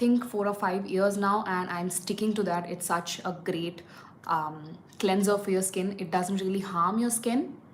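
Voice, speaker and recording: Noticeable background noise and audible room echo surround a woman with a Tamil accent who speaks at a medium pitch with fairly even intonation. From India, Tamil. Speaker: beauty vlogger. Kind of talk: live makeup tutorial. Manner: casual, hesitant fillers.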